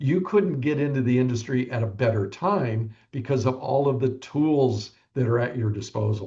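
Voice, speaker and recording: A man speaks at a fairly slow pace in a medium-pitched voice. His tone is dark and mellow, and somewhat breathy. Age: 70s. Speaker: real estate broker. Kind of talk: podcast interview.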